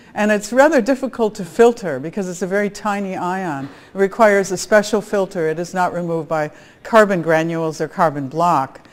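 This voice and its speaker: Over noticeable background noise, a woman with an American accent speaks at medium pitch and a moderate pace, with lively intonation. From US Midwest, Chicago area. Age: 60s. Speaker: biophysicist, conference speaker. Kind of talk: conference talk.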